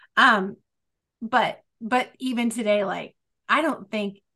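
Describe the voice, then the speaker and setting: The voice comes across energetic, with a bright, sharp tone. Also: woman. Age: 50s. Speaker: podcast host. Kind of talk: casual interview chat.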